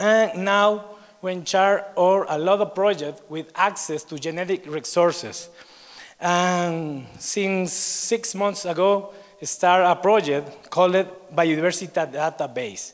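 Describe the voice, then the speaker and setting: The speaker talks at a very slow pace. The words come in an Ecuadorian accent. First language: Spanish. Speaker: researcher at a biodiversity institute. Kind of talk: conference presentation. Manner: halting.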